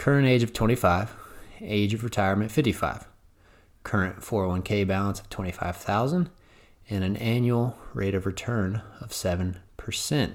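Using a plain, everyday voice, a man with a fairly low pitch talks at a moderate pace with ordinary pitch variation. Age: 20s. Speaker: firefighter and financial planner podcast host. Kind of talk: solo podcast monologue.

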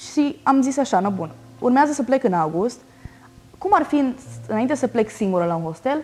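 With music in the background, a woman speaks at a moderate pace in a high pitch, her pitch swinging very widely, with long, frequent pauses. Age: 20s. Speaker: solo traveler. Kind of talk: casual chat. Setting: at home.

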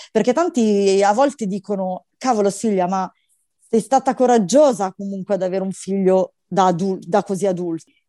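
A woman's dark, mellow voice at medium pitch, with ordinary pitch variation and a moderate pace, in a dry, close sound with no echo against a quiet background. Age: 40s. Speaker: bank employee sharing motherhood story. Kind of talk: personal testimony. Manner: animated.

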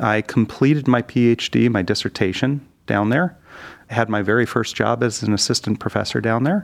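Speaking fairly quickly, a man uses a medium pitch with ordinary variation and audible vocal fry. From US Midwest, Detroit area. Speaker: speech language pathologist. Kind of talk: interview.

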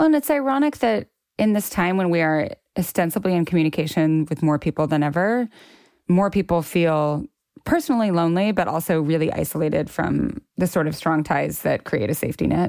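With an ordinary speaking voice, a woman talks at a fairly quick pace and a fairly low pitch, using lively intonation and very even loudness on a very clean recording with a silent background. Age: 40s. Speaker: writer. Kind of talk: casual chat.

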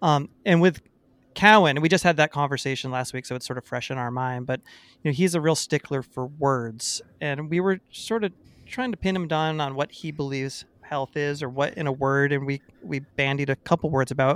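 An unremarkable speaking voice with ordinary pitch variation is heard in a dry, close sound with no echo. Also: man, fairly high pitch for a man, fairly quick pace, very clean recording, silent background. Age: 40s. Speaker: podcast co-host and musician. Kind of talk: casual chat.

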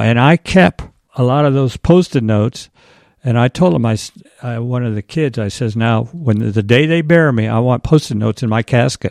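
Recorded with a dry, close sound, no echo and a quiet background, a man with an ordinary speaking voice talks at a medium pitch and moderate pace with ordinary pitch variation. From Iowa. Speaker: church volunteer. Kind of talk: interview.

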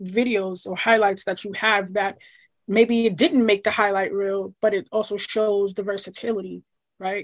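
A woman with an American accent talks at a moderate pace in a fairly high voice. It is a normal speaking voice. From New York, Queens. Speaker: soccer agent. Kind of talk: casual interview.

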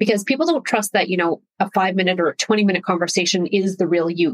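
A woman's ordinary speaking voice at medium pitch, in a dry, close sound with no echo. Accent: Canadian. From Canada. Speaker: personal branding expert. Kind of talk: interview.

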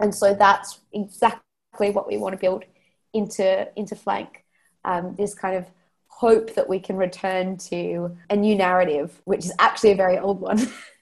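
A woman talks at a moderate pace with an Australian accent. Her pitch is medium and her intonation is flat and monotone. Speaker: fintech founder. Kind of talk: interview.

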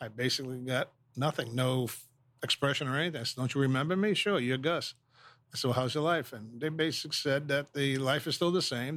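A man speaks in a plain, everyday voice with an American accent, at a medium pitch and a fairly quick pace. His intonation stays fairly even, and the recording is very clean with a silent background. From New York City. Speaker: business owner, veterans charity founder. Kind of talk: interview storytelling.

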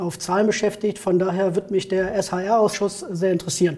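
Over noticeable background noise, a man speaks at a moderate pace in a high pitch for a man, his intonation monotone and flat. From Germany, Neuss (Rhineland). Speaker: election candidate, savings bank professional. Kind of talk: interview.

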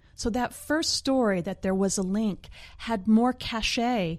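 A woman speaks at a fairly slow pace with lively intonation. She has an ordinary speaking voice. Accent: American. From Oklahoma panhandle, US. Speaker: scientist and science communicator. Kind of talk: casual interview.

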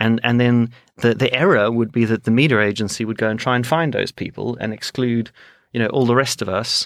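In a dry, close sound with no echo and a very clean, silent background, a man speaks at a fairly quick pace in a normal speaking voice of medium pitch. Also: fairly even intonation. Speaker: advertising executive. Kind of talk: casual interview chat.

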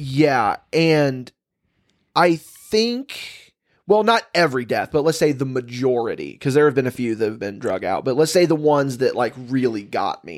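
A man with a plain, everyday voice speaks at a fairly high pitch and moderate pace with lively intonation, on a very clean recording with a silent background. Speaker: podcast host. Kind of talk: casual comedic chat. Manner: joking, conversational.

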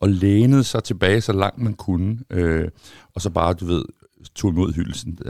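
With a plain, everyday voice, a man speaks at a fairly slow pace and fairly low pitch, with ordinary pitch variation, in a dry, close sound with no echo and a very clean recording with a silent background. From Denmark, Copenhagen. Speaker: former footballer. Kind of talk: casual chat.

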